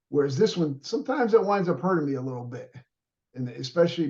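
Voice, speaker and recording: Very fast and with lively intonation, a man speaks in a fairly high voice. His tone is dark and mellow, and somewhat breathy. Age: 60s. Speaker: podcast host and martial arts trainer. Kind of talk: casual interview chat. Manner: halting, many fillers.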